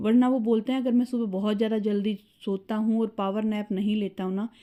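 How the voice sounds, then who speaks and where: A woman's fairly high, dark and mellow voice, monotone and flat, at a moderate pace on a very clean recording with a silent background. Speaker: family vlogger. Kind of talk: casual vlog talk.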